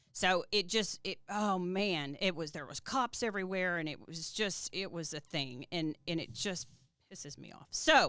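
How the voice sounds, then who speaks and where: A woman in a Texas accent, fairly low-pitched and animated, with a bright, sharp tone, lively intonation, big swings in loudness and a moderate pace, on a very clean recording with a silent background. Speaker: podcast host. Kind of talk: casual interview chat.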